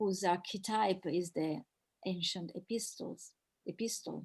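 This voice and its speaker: A woman with an Italian accent speaks at a fairly slow pace in a medium pitch with fairly even intonation. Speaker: professor. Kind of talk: Q&A after academic talk. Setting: video call webinar. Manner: halting, many repetitions.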